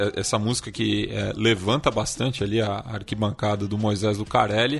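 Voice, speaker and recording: A man with a plain, everyday voice talks at a fairly slow pace and a medium pitch. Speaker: podcast co-host. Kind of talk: casual chat.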